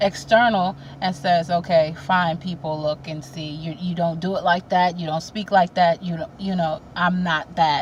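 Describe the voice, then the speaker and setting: Over noticeable background noise, a woman speaks at a moderate pace in a fairly low pitch, her intonation fairly even. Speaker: spiritual vlogger. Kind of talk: casual spiritual talk to camera. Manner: halting, repeats words.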